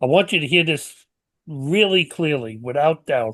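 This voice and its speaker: Over a quiet background, a man with a New York accent speaks at a moderate pace and fairly high pitch with ordinary pitch variation. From New York City. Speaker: podcast host. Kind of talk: closing remarks to audience; casual chat. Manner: hesitant, repeats words.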